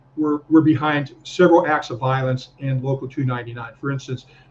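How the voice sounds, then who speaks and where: A fairly quick man's voice, fairly high in pitch, over noticeable background noise. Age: 70s. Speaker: investigative reporter and author. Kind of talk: live panel discussion.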